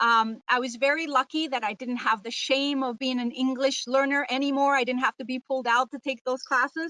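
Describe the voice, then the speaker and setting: With a dry, close sound and no echo, a woman with a high pitch speaks at a moderate pace in a bright, sharp tone with fairly even intonation. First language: Spanish. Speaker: high school teacher. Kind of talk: webinar presentation. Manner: halting, many fillers.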